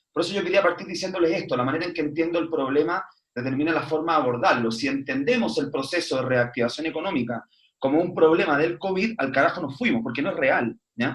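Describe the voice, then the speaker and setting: An animated man at a fairly high pitch and a fairly quick pace. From Chile. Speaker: foundation executive director. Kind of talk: online panel talk. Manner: fast; animated, repetitive stumbling.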